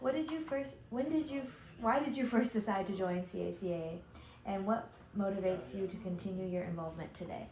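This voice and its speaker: The speech moves at a fairly quick pace with lively intonation, set against noticeable background noise and audible room echo. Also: woman, medium pitch for a woman. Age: young. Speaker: youth convention aide interviewer. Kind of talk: oral history interview. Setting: convention interview.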